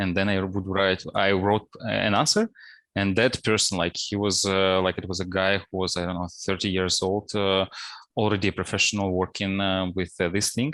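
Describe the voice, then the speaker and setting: With a Russian accent, a man speaks in a monotone, flat intonation at a moderate pace and fairly low pitch, in a very clean recording with a silent background. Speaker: principal data scientist. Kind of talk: interview. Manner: hesitant, many fillers.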